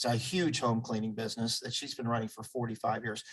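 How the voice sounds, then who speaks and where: The man's pitch sits in the medium range and he sounds somewhat breathy. He talks at a fairly quick pace. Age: 60s. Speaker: community group founder. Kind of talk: interview.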